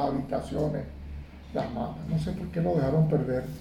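A man talks at a moderate speed, his voice carrying audible room echo. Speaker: lawyer and amateur photographer. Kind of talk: interview.

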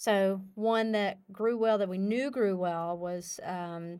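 On a very clean recording with a silent background, a woman talks at a very slow pace with fairly even intonation. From northern Louisiana, Calhoun area. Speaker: winery co-owner. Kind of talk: casual interview.

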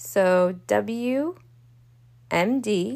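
A woman speaks with a Baltimore accent. Her pitch sits in the medium range. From US, Baltimore. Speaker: law student podcaster. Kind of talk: casual study tutorial. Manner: rambling, halting with fillers.

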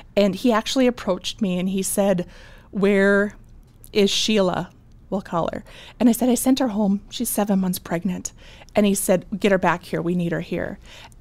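In an Upper Midwest accent, a woman speaks. Her intonation stays fairly even. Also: medium pitch for a woman, moderate pace, very clean recording, silent background. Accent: Upper Midwest American. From North Dakota (Bismarck). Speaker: small business owner. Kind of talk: interview.

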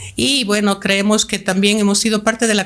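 At a fairly quick pace, a woman talks at a medium pitch in an unremarkable speaking voice. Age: 60s. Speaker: language school director. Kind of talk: podcast interview.

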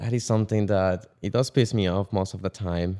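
A man with an ordinary speaking voice and fairly low pitch talks at a fairly quick pace, with a dry, close sound with no echo on a very clean recording with a silent background. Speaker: podcast co-host.

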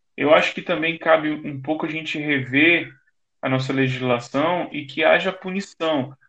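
In a plain, everyday voice, a man speaks at a moderate pace, his fairly high pitch varying in an ordinary way. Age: 30s. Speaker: journalist. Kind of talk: interview.

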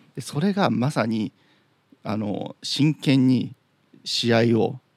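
The sound is dry and close with no echo as a man speaks at medium pitch. His intonation is lively, with vocal fry in his voice. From Chiba, Japan. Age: 30s. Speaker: podcast host. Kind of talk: solo monologue. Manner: casual.

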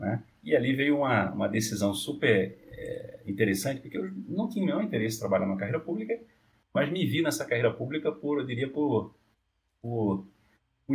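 At a moderate pace, this man uses an unremarkable speaking voice whose intonation is lively. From Brazil, Northeast (Olinda, Pernambuco). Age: 40s. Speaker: business executive. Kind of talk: interview.

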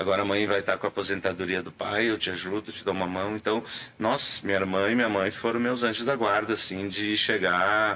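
A man speaks at a fairly quick pace in a fairly low pitch, his tone bright and sharp and his intonation fairly even. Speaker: actor. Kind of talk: casual chat.

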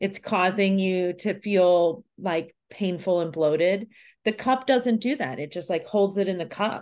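At a fairly slow pace, the speaker uses an ordinary speaking voice with ordinary pitch variation. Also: woman, medium pitch for a woman, quiet background. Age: 40s. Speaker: yoga teacher and podcast host. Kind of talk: casual interview chat.

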